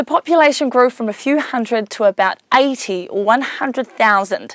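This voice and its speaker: A woman speaks at a moderate pace in a high pitch with lively intonation. The sound is dry and close, with no echo. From New Zealand, Whanganui. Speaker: educational series presenter. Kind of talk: scripted narration.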